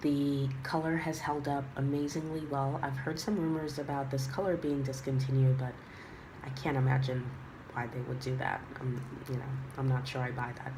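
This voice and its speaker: A woman speaks in a very deep, low pitch with monotone, flat intonation. Noticeable background noise runs under her voice. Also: moderate pace. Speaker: handbag reviewer. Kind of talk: casual talk to camera.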